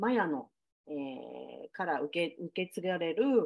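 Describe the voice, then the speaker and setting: A woman talks in a normal speaking voice at a medium pitch. Her intonation is lively. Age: 40s. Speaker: podcast host. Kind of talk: casual chat.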